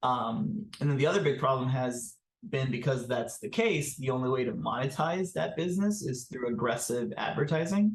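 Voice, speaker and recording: A man with a Spanish accent speaks in a somewhat breathy, medium-pitched voice. His intonation is lively and his pace moderate. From Honduras. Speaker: startup founder. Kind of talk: interview.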